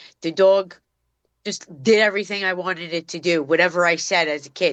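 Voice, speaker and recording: A woman's medium-pitched voice with a Brooklyn accent, ordinary pitch variation and a moderate pace. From New York City, Brooklyn (Bensonhurst). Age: 50s. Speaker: dog trainer. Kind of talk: casual chat.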